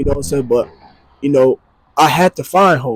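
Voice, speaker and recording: A man talks at a fairly quick pace in a somewhat breathy voice with ordinary pitch variation. The sound is dry and close, with no echo. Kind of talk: motivational talk. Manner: fast; halting, many fillers.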